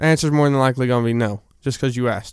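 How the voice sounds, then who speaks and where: Medium pitch and ordinary pitch variation from a male speaker, captured in a very clean recording against a silent background. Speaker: podcaster. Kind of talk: storytelling monologue. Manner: halting.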